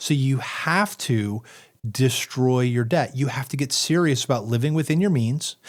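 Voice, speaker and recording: In a very clean recording with a silent background, a man speaks in a normal speaking voice at medium pitch and a moderate pace, with ordinary pitch variation and very even loudness. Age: 40s. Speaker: financial advisor. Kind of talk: casual chat.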